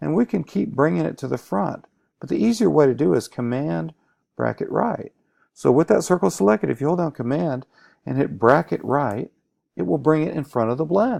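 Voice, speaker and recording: The voice moves at a moderate pace with very wide pitch swings and vocal fry. The sound is dry and close, with no echo. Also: man, quiet background. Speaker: teacher. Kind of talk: tutorial. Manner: stutter; animated.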